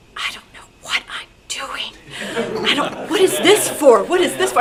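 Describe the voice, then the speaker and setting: A woman's voice leaps through very wide swings in pitch. Noticeable background noise sits behind her. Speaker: old time radio performer and recreation group founder. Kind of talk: guest talk to a club audience.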